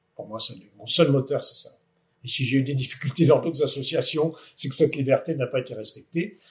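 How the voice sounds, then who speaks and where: Big swings in loudness mark this man's somewhat breathy voice. He talks at a fairly quick pace and a fairly high pitch. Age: 60s. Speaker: company director. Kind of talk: interview. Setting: on company site. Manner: hesitant, many fillers.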